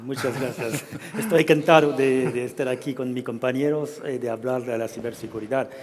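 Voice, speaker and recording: Against noticeable background noise, a man of medium pitch with a French accent speaks at a moderate pace with fairly even intonation. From France. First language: French (speaking Spanish). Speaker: aerospace sales director. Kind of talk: panel talk.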